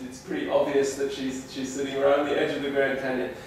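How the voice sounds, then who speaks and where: Strong room echo and light background noise surround a man's voice. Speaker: presenter. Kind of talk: lecture. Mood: warm, personal anecdote. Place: classroom.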